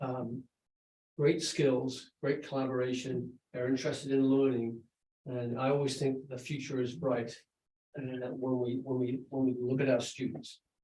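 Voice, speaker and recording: The voice has a dark, mellow tone, is somewhat breathy, and moves at a fairly slow pace. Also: man. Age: 60s. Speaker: school principal. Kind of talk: presentation at a school board meeting.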